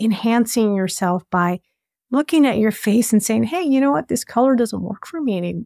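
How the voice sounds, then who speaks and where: A woman speaks with a dark, mellow tone and ordinary pitch variation, the sound dry with no echo over a quiet background. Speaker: podcast host. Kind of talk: interview. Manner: enthusiastic. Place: home room. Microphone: studio mic.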